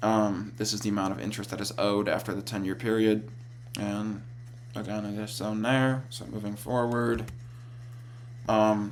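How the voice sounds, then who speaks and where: Over noticeable background noise and audible room echo, a man speaks in a fairly low, flat monotone with long, frequent pauses. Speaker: college student. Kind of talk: class presentation. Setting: screen recording. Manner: fast; halting.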